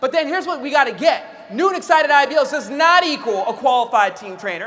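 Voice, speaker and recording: Over noticeable background noise and audible room echo, a man speaks very fast in a raised, projected voice of extremely high pitch, with very wide pitch swings and an animated tone. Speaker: network marketing trainer. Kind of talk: motivational training talk.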